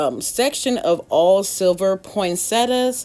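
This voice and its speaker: A woman's unremarkable speaking voice at medium pitch, with lively intonation. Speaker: DIY decor YouTuber. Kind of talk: casual tutorial walkthrough.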